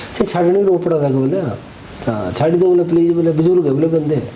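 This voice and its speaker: A man speaks in a fairly high voice with ordinary pitch variation. Noticeable background noise runs under the recording. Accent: Pahadi. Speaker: wedding photographer and vlogger. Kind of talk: storytelling in pahadi dialect. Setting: outdoors.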